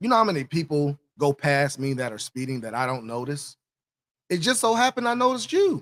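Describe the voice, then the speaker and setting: Loud and fairly high in pitch, a man speaks at a fairly quick pace with very wide pitch swings in a dry, close sound with no echo. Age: 40s. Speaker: police officer and show host. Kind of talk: casual commentary monologue.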